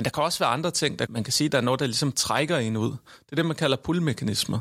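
In a normal speaking voice, a man talks at a medium pitch with lively intonation, on a very clean recording with a silent background. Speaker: professor, researcher. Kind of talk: discussion.

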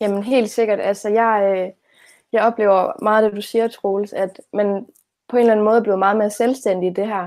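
A woman's fairly high voice, monotone and flat, at a moderate pace, on a very clean recording with a silent background. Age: 20s. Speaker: teacher-training student. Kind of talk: conversational interview.

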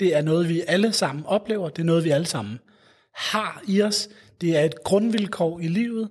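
Lively intonation marks this man's speech. He has a high pitch and keeps a moderate pace. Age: 30s. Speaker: psychologist at a mental health charity. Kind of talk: interview. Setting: city hall room. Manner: halting, many fillers and repetitions.

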